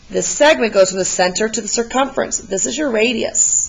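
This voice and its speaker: A woman's fairly high pitch comes through noticeable background noise. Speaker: math teacher. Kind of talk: tutorial. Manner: encouraging, casual.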